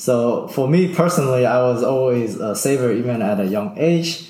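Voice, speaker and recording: A man speaks at a medium pitch with lively intonation. Noticeable background noise and audible room echo fill the recording. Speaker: early retiree, former IT network engineer. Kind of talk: casual interview.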